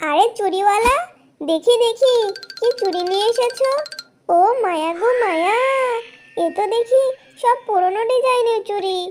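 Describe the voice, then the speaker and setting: Faint music plays behind a woman doing a cartoonish character voice at an extremely high pitch and a moderate pace. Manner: gushing, flirtatious.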